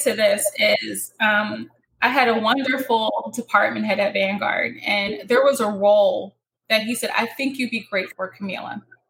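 A woman speaks with an American accent at a moderate pace. Her pitch is fairly high, with ordinary variation. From US Northeast. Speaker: financial planning firm president. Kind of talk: interview. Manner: clear enunciation.

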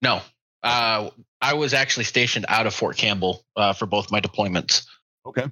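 In a plain, everyday voice, the speaker goes at a fairly quick pace with ordinary pitch variation and very even loudness. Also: man, medium pitch for a man. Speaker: army veteran. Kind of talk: casual chat.

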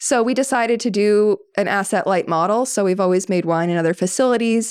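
A woman with an American accent talks fairly quickly at a medium pitch, with ordinary pitch variation, in a plain, everyday voice. The recording is very clean, with a silent background. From Maine, US (western Maine mountains). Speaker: winery co-owner. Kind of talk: casual chat.

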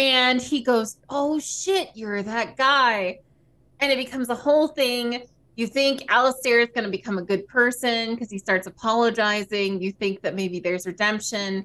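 A woman's fairly high voice with a bright, sharp tone, ordinary pitch variation and a moderate pace. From US South. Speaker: podcast co-host and streamer. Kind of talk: casual chat.

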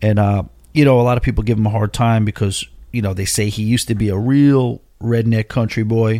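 A man's medium-pitched voice with an American accent, dark and mellow, fairly even in intonation and fairly quick, in a dry, close sound with no echo on a very clean recording with a silent background. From Long Island, New York. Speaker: cruise podcast host. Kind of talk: casual monologue.

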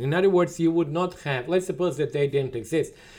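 Speaking at a very fast pace with a Serbian accent, a man uses ordinary pitch variation on a very clean recording with a silent background. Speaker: economics professor. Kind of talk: interview.

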